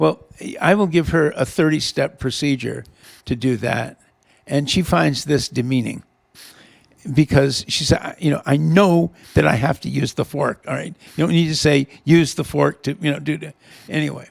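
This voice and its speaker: A man speaks at a moderate pace with ordinary pitch variation and a fairly high pitch. His voice has vocal fry, and he leaves long, frequent pauses. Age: 70s. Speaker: retired government official and Vietnam veteran. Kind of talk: casual chat. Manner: halting, many repetitions.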